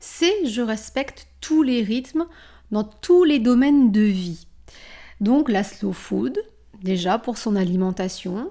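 On a very clean recording with a silent background, a woman speaks very slowly in a somewhat breathy, fairly high voice with a dark, mellow tone, lively intonation and long, frequent pauses. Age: 40s. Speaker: wellness coach and yoga teacher. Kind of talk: solo podcast monologue.

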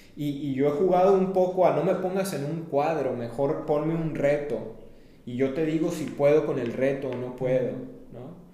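A man at a moderate pace, fairly high in pitch with ordinary pitch variation, amid audible room echo and noticeable background noise. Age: 30s. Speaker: activist and entrepreneur. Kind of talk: interview.

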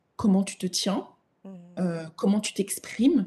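A woman speaks at a fairly slow pace in a somewhat breathy voice with a dark, mellow tone. The background is quiet. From Africa. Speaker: image consultant and personal stylist. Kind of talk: interview.

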